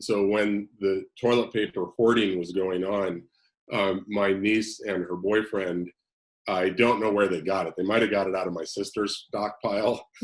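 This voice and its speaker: At a fairly slow pace, a man speaks in a plain, everyday voice with a fairly low pitch. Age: 60s. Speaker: counselor. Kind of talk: casual chat.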